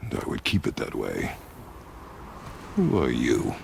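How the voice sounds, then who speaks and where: A man puts on a character voice at a moderate pace. Background noise is clearly heard. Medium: video game. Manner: terse, gruff.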